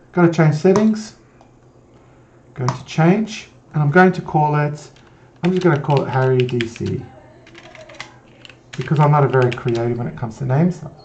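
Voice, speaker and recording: A man with a fairly high pitch, ordinary pitch variation, long and frequent pauses, and noticeable background noise. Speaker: IT tutorial presenter. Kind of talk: screen-recorded tutorial. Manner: fast; hesitant, with fillers and restarts.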